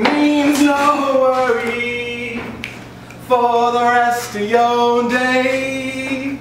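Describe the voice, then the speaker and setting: A man speaks at an extremely high pitch with monotone, flat intonation. Noticeable background noise and audible room echo surround him. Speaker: slam poet. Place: stage. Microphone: camera far.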